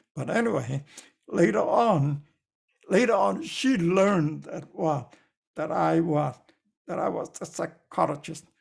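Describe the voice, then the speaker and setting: A man's fairly high voice with vocal fry and very wide pitch swings, at a fairly slow pace broken by long, frequent pauses. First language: not English. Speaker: lecturer. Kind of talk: lecture. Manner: halting, many fillers.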